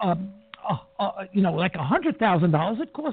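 A man speaks in an animated tone at a moderate pace. His pitch swings very widely. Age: old. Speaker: radio talk show host. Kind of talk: radio interview. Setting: studio.

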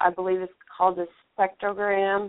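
A woman at a medium pitch talks with a Texan accent. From Texas. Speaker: Bigfoot researcher and radio host. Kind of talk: interview. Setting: phone call. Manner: halting.

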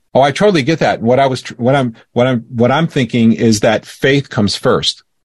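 A man's unremarkable speaking voice at medium pitch, with ordinary pitch variation, a fairly quick pace, and a dry, close sound with no echo. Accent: American. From Florida, US. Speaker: guest, former radio co-host. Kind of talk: casual interview chat. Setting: video call.

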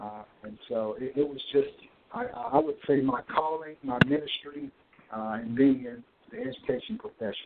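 A man speaks in a Mississippi accent at a moderate pace, his pitch fairly high with ordinary variation. His loudness swings widely. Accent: Southern US (Mississippi). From US South, Natchez, Mississippi. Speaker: school administrator. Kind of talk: radio interview. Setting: phone call.

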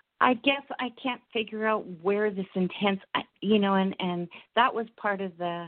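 A woman's normal speaking voice at a medium pitch, at a fairly slow pace, with ordinary pitch variation. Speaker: caller. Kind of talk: casual chat. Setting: phone call.

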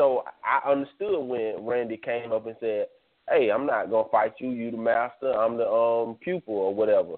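Speaking at a moderate speed, a man with an unremarkable speaking voice keeps a medium pitch and normal pitch movement. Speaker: caller. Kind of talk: casual chat. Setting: phone call.

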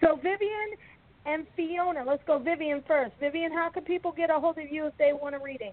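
A woman speaks with an extremely high pitch and ordinary pitch variation. Her pace is fairly quick. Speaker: radio host. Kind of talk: casual chat.

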